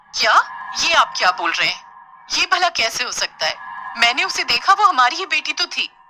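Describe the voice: A woman's cartoonish character voice, high-pitched with big pitch swings and a bright, sharp tone, at a moderate pace over faint music in the background.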